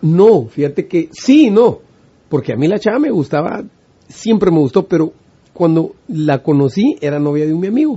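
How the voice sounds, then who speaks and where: A man with a high pitch for a man, talking at a moderate pace. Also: lively intonation. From Guatemala. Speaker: musician. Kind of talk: casual interview chat.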